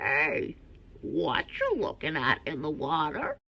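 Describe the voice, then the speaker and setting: The speaker uses a put-on character voice. Delivery is fairly slow. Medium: read story.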